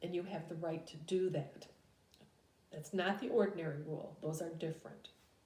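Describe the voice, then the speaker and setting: A woman's somewhat breathy, fairly low voice with a dark, mellow tone, moderate pace and audible room echo. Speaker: business law teacher. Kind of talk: recorded lecture. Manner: hesitant with frequent fillers.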